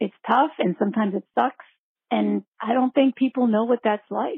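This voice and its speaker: A woman with a normal speaking voice keeps a moderate pace, her pitch varying in an ordinary way. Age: 40s. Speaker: caller leaving a voicemail. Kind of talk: voicemail question.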